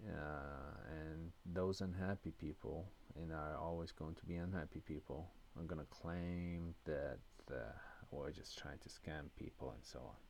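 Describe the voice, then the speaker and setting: A man with a European accent speaks at a fairly slow pace in a very deep, low voice. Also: ordinary pitch variation. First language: non-English European language. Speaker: lottery system creator and channel host. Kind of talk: tutorial. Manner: hesitant, with fillers and restarts.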